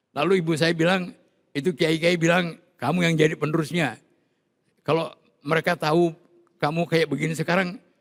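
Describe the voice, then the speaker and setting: With long, frequent pauses, a man talks in a high voice, keeping his intonation fairly even and his loudness very even. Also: fairly quick pace. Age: 70s. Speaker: Islamic cleric. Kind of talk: interview. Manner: halting.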